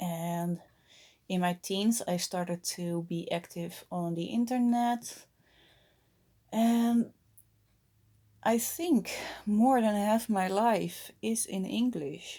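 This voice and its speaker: A woman with a Dutch accent, a medium pitch, ordinary pitch variation and a dark, mellow tone, at a very slow pace with long, frequent pauses. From Netherlands. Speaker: vlogger. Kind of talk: casual vlog monologue. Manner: halting, many fillers.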